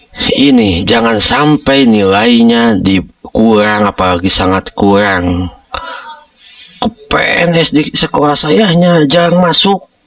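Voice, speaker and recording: A very slow pace with very wide pitch swings. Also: man, medium pitch for a man. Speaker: school operator, education tutorial maker. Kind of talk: screen-share tutorial. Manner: informal, many fillers (nah, ya).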